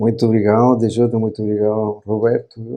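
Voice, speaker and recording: In a Chilean accent, a man talks at a medium pitch with a dark, mellow tone. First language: Spanish (speaking Portuguese). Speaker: company CEO. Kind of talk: podcast interview.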